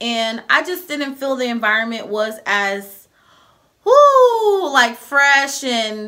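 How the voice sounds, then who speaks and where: A woman speaks in a fairly high pitch with a bright, sharp tone. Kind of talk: casual advice vlog. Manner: fast.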